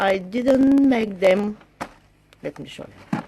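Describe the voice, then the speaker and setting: Someone with a non-native accent speaks at a very slow pace with ordinary pitch variation. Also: woman. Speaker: crafter. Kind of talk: casual talk to camera.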